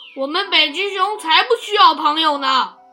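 In a put-on character voice at an extremely high pitch, the speaker bellows in an angry tone at a moderate pace while music plays in the background. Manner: angry, roaring.

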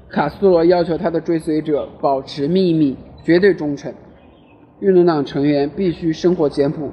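A man with a fairly high voice keeps a fairly even intonation at a moderate pace, with noticeable background noise behind him. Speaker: amateur audiobook reader. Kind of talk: reading aloud. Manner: halting, frequent self-corrections.

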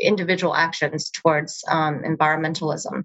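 A woman talks at a moderate pace with fairly even intonation. She has a normal speaking voice. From US, moved from Beijing at age seven. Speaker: impact investor and family office founder. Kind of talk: interview.

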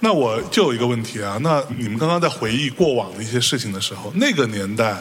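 A man with a medium pitch talks at a fairly quick pace in an animated tone with lively intonation over noticeable background noise. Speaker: podcast host and moderator. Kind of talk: live panel moderation. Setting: stage with audience.

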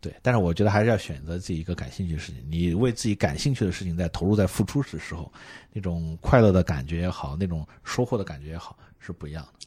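Very fast and somewhat breathy, a man's very deep, low voice shows big swings in loudness. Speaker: marketing executive guest. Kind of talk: casual chat. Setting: airport. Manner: animated.

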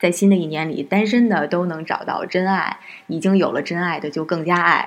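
Here is a woman with an unremarkable speaking voice, fairly low in pitch. She keeps a moderate pace and fairly even intonation. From Northeast China. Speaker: music podcast host. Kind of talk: casual chat.

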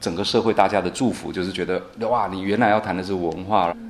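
Fairly low in pitch and fairly even in intonation, this man has a plain, everyday voice. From Taiwan, Nantou. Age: 30s. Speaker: guesthouse owner and rural entrepreneur. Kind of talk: interview.

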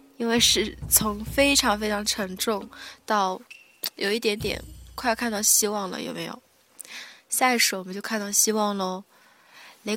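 A woman with a medium-pitched, bright and sharp voice speaks at a fairly slow pace with fairly even intonation and long, frequent pauses. Her loudness swings widely on a very clean recording with a silent background. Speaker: podcast host. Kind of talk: casual music radio talk. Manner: soft, sleepy late-night style.

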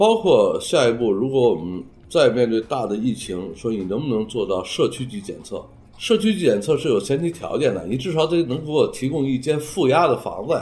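Somewhat breathy and dark, mellow in tone, a man's medium-pitched voice makes very wide pitch swings at a fairly quick pace. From northern China. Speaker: urban planning professor. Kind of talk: interview.

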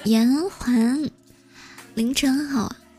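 With music in the background, a woman speaks in a high pitch. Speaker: live-stream radio host. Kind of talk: late-night live-stream chat and storytelling. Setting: live audio stream with chat and gifts. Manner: chatty, frequent filler particles.

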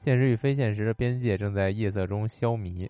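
The background is silent on this very clean recording. A man's voice has a dark, mellow tone. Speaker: game podcast host. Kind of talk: casual chat. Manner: casual, chatty.

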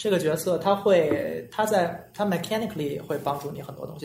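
Noticeable background noise is heard as the speech moves along fairly quickly. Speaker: podcast host. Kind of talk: casual chat.

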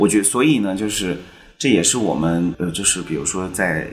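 His voice is a man's, very deep and low in pitch, with lively intonation at a moderate pace. Audible room echo surrounds it. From Chengdu, Sichuan, China. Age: 40s. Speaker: film director. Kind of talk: podcast interview.

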